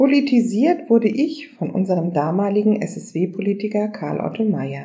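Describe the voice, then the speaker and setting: At a fairly slow pace with hardly any pauses, a woman of medium pitch talks with lively intonation, a dark, mellow tone and vocal fry. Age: 60s. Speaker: local politician. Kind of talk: prepared interview answers.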